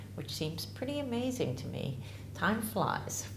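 The speaker goes at a moderate pace with audible room echo and light background noise. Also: woman. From US, Ozark Mountains region. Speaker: herbalist. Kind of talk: promotional talk to camera. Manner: casual, slightly halting. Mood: warm, enthusiastic. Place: home room.

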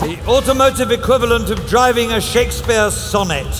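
A man speaks at a moderate pace while clear music plays in the background. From England. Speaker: auctioneer. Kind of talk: live auction selling from the rostrum. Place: hall. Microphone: podium.

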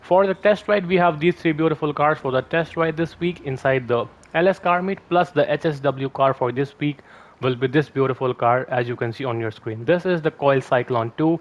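Here is a man with an ordinary speaking voice. His pace is moderate and his pitch variation ordinary. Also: fairly high pitch for a man. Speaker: gaming video creator. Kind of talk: game news update video.

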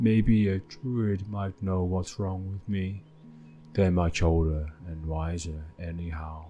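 A man puts on a character voice with a very deep, low pitch, speaking at a fairly slow pace. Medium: solo performance. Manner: anxious, plaintive.

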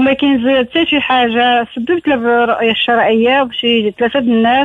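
With noticeable background noise, the speech runs on with hardly any pauses, very even loudness and fairly even intonation. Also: woman. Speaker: caller. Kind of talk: phone-in request for prayers.

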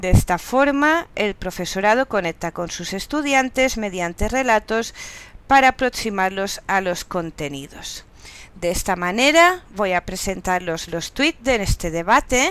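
A woman's medium-pitched voice at a fairly slow pace, with very wide pitch swings. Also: very clean recording, silent background. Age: 40s. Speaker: university lecturer and master's student. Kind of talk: narrated class presentation. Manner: halting.

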